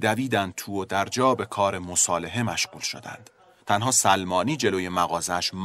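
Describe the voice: The voice reads aloud plainly, its pitch varying in an ordinary way.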